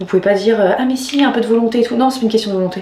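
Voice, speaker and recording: There is audible room echo around a woman whose voice shows ordinary pitch variation. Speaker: vlogger. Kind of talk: personal vlog. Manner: halting.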